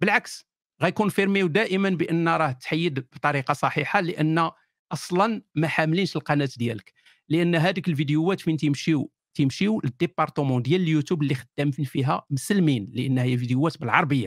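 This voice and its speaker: With a dry, close sound and no echo, a man speaks at a moderate pace and a fairly high pitch, his loudness very even. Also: ordinary pitch variation, very clean recording, silent background. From Morocco, Kenitra. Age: 40s. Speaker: atheist YouTuber. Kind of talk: interview.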